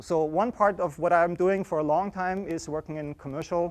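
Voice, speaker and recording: Loud and high-pitched, a man speaks with an Austrian accent and ordinary pitch variation. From Austria, Vienna. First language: German. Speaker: artist and university professor. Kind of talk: lecture. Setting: classroom with students. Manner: loud, projecting to the room.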